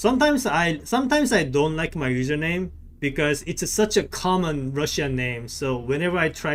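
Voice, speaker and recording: A man with a non-native accent at a moderate pace. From South Korea. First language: Korean. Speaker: gaming streamer. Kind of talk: casual live-stream chat with game commentary. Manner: hesitant, frequent repetitions and fillers.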